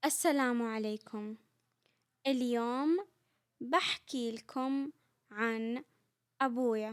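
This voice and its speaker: A woman speaks with a Saudi accent in a high voice, at a very slow pace. Her pitch varies in an ordinary way, broken by long, frequent pauses. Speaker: Arabic language teacher. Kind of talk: comprehensible-input language lesson. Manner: slow, clear, repetitive.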